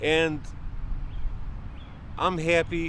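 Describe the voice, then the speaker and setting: Audible room echo around a man's voice, with ordinary pitch variation. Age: 60s. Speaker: passer-by interviewee. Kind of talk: street interview, heated opinion. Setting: outdoors in a park. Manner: animated.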